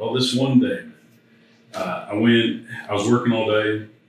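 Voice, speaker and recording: Moderate speed and fairly level intonation, amid audible room echo and noticeable noise in the background. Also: man. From Michigan, Detroit area. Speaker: church bassist. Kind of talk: casual chat; testimony.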